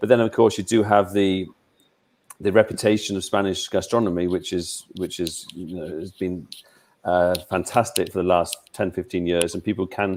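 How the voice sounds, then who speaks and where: A British accent at a moderate pace, with fairly even intonation. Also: man, very deep, low pitch for a man. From England. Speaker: travel expert. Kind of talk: interview about travel. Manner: halting, many repetitions.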